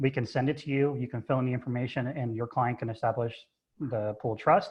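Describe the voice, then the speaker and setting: Fairly even intonation and a fairly quick pace from a male speaker. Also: medium pitch for a man. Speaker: trust advisor. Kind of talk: webinar presentation. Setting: video call from home office. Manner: loud.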